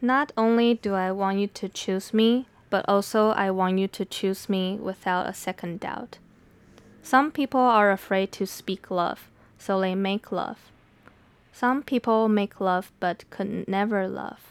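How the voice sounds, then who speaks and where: Speaking with a Mandarin accent at a fairly slow pace, a woman uses a medium pitch and fairly even intonation in a very clean recording with a silent background and dry, close sound with no echo. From Taiwan. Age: 20s. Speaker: podcast host and poet. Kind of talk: solo podcast monologue. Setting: home recording room. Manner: conversational, reflective.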